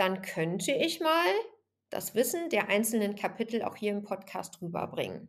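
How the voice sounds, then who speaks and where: A woman speaks at a medium pitch and a moderate pace. Her voice makes very wide pitch swings. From Germany, Bergisches Land (Remscheid). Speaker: fitness trainer and podcast host. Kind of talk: solo podcast monologue.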